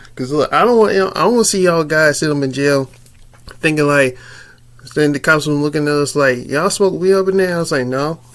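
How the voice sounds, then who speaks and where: Speaking at a fairly quick pace, a man keeps to ordinary pitch variation. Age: 30s. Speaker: YouTuber telling a personal story. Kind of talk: casual storytelling vlog. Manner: casual, slangy with frequent fillers and repetition.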